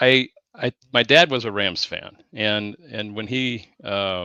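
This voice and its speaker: A man's very slow, medium-pitched speech in a bright, sharp tone, with ordinary pitch variation and a dry, close sound with no echo. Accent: Pacific Northwest. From Southeast Washington, US. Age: 60s. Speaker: sports fan guest. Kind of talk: casual interview chat. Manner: halting, many fillers and repeats.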